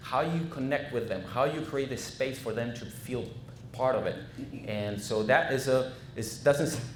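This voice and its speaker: A man with a Spanish accent speaks amid noticeable background noise and audible room echo. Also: medium pitch for a man, ordinary pitch variation, moderate pace. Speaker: franchise consultant. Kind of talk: business presentation. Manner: halting, many fillers.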